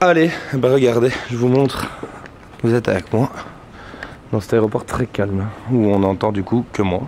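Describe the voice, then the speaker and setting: Against noticeable background noise, a man at medium pitch speaks at a moderate pace with ordinary pitch variation and long, frequent pauses. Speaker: vlogger. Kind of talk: casual vlog chat. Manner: animated; loud.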